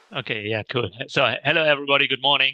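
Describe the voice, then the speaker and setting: Recorded with a dry, close sound with no echo and a quiet background, a man talks in a German accent. His voice has a fairly high pitch and a bright, sharp tone. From Hamburg, Germany. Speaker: real estate investing coach. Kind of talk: self-introduction on live webinar. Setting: calling in remotely from Germany. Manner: halting, many fillers.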